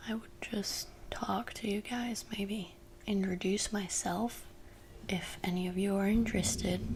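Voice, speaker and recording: A woman speaks at a fairly slow pace and a medium pitch, with fairly even intonation. Room echo and noticeable background noise can be heard. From France. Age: 20s. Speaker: ASMR youtuber. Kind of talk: ASMR rambling. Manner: soft-spoken.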